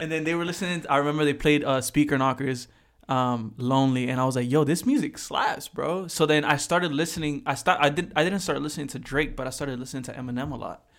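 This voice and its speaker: Barely pausing at all, a man rushes through his words at a very fast pace. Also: fairly high pitch for a man, ordinary pitch variation. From Puerto Rico, Manati. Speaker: videographer. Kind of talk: casual chat.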